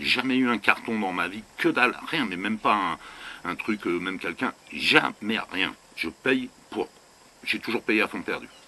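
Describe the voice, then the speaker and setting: A man talks at a fairly slow pace with ordinary pitch variation. His pitch is medium. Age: 60s. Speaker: vanlife vlogger. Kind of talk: casual rant to camera. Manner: animated; halting.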